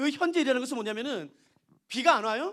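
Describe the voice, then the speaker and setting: A man's extremely high-pitched, animated voice with lively intonation. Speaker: pastor. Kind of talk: sermon. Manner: fast.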